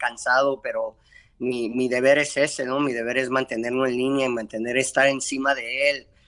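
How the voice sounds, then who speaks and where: With a bright, sharp tone, a man talks at a moderate pace in a medium pitch. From Mexico, Guadalajara. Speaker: boxing trainer. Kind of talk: interview. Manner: halting.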